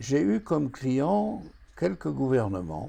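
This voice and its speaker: Speaking at a very slow pace, a man with a medium pitch and a dark, mellow tone sounds somewhat breathy, his pitch swinging very widely. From France. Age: 80s+. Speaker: retired forecasting consultant, association founder. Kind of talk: scripted address to camera.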